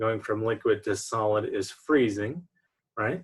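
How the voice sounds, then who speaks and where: A man is speaking. His voice is somewhat breathy. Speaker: chemistry lecturer. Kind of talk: online lecture. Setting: recorded online lecture with slides.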